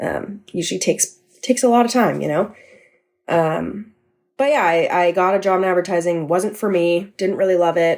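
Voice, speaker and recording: Speaking at a moderate pace in a West Coast accent, a woman has a medium pitch and ordinary pitch variation. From California. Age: 20s. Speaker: podcast producer. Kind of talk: interview.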